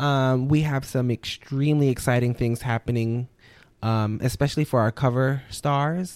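A man with an American accent and an ordinary speaking voice talks at a moderate pace and medium pitch, his intonation fairly even and loudness very even, in a dry, close sound with no echo on a very clean recording with a silent background. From New Orleans, Louisiana, US South. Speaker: magazine editor. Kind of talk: casual interview.

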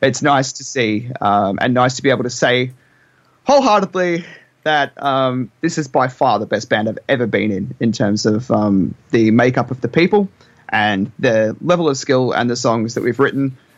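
A man with an Australian accent speaks at medium pitch and a moderate pace, with ordinary pitch variation. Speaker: band member. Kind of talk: casual chat.

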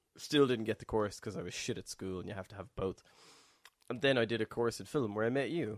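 Speaking very fast with an Irish accent, a man at medium pitch shows ordinary pitch variation and big swings in loudness. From Ireland. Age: 30s. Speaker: podcast co-host. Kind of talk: casual chat.

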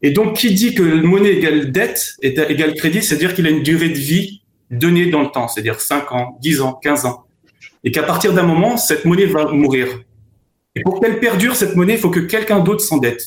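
A man with a high-pitched voice talks at a fairly quick pace with lively intonation. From France. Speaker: former trader and consultant. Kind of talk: remote discussion interview.

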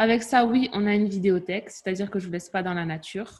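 In a slight Toulouse accent, a woman of medium pitch speaks with a somewhat breathy voice and fairly even intonation. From southern France, Toulouse. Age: 30s. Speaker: fitness coach and entrepreneur. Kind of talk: interview. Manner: casual.

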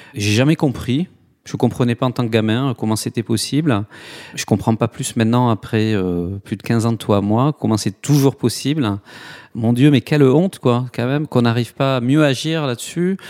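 The sound is dry and close, with no echo. A man speaks at a moderate pace and medium pitch, with ordinary pitch variation. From southwest France, Toulouse. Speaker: nonprofit co-founder. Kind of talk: interview. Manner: hesitant, many fillers.

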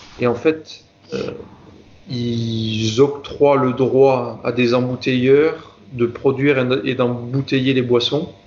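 Over noticeable background noise, a man at a medium pitch speaks very slowly in a monotone, flat intonation. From southern France, Marseille area. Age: 20s. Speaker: health and safety manager. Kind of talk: interview conversation. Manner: hesitant, many fillers and repetitions.

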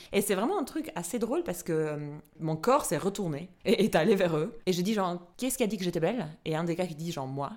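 Medium in pitch and at a fairly quick pace, a woman speaks in a plain, everyday voice. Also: lively intonation. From Albania. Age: 30s. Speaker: podcast host. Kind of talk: casual chat. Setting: studio.

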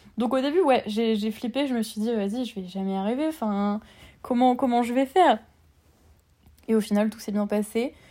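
Here a woman talks at a moderate pace. Her voice is fairly high-pitched with a dark, mellow tone. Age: 20s. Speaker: literature student and book influencer. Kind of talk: casual chat. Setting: remote recording.

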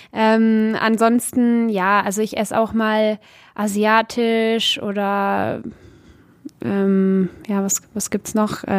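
On a very clean recording with a silent background, a woman with a fairly high pitch speaks very slowly in a monotone, flat intonation. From German-speaking Community of Belgium. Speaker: professional footballer. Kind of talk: interview. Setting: training ground.

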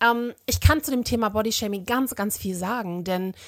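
A woman with medium pitch and ordinary pitch variation talks at a moderate pace in an unremarkable speaking voice, on a very clean recording with a silent background. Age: 40s. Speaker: social media activist. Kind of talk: recorded voice message.

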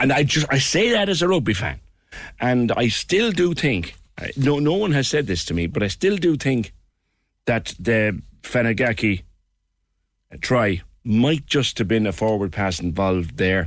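With very wide pitch swings around a medium pitch, a man keeps his loudness very even and leaves long, frequent pauses. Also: moderate pace. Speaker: radio talk show host. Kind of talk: phone-in radio show. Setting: studio. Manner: animated.

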